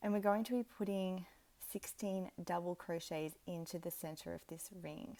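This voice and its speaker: In an Australian accent, a woman speaks at a moderate pace with a fairly low pitch, ordinary pitch variation, and a relaxed, dark, mellow tone. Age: 30s. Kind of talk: craft tutorial talk to camera. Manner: relaxed, casual.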